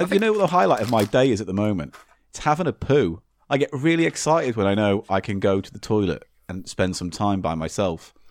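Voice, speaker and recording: This man talks at a very fast pace with an English accent. His pitch swings very widely. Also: fairly low pitch for a man. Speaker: podcast host. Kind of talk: casual chat. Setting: remote recording.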